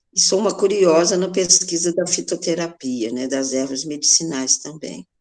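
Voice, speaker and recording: Here a woman uses an ordinary speaking voice at a moderate pace with ordinary pitch variation. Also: fairly low pitch for a woman. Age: 60s. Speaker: popular educator. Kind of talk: podcast interview.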